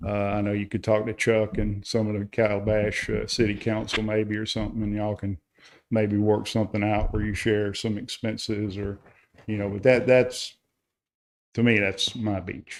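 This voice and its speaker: A man in a Carolina accent, fairly low in pitch, with monotone, flat intonation at a moderate pace, in a very clean recording with a silent background. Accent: local Carolina. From South Carolina. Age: retired. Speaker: public commenter at town council meeting. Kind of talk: public comment. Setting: town council meeting.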